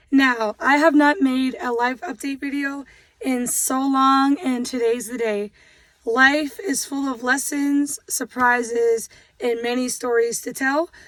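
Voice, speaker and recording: A woman's loud, high-pitched voice at a very slow pace. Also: ordinary pitch variation. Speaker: vlogger. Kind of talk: casual chat. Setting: in a car.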